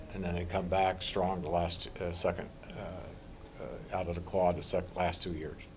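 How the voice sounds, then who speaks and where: With big swings in loudness and hardly any pauses, a dark, mellow, somewhat breathy voice carries audible room echo. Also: man. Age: 80s+. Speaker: wrestling club founder and director. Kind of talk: press interview. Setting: media scrum after a match. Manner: halting, many fillers and repetitions.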